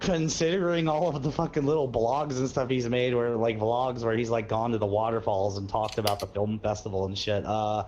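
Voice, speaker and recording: A man talks at a fairly quick pace with hardly any pauses, in a medium pitch and ordinary pitch variation, a plain, everyday voice. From Missouri. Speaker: gaming streamer. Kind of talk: casual chat.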